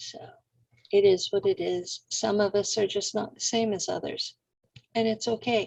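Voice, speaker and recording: A woman speaks at a moderate pace with an American accent and a somewhat breathy voice. Her speech has long, frequent pauses. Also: fairly high pitch for a woman, ordinary pitch variation. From California. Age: 60s. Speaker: radio host. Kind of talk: interview conversation.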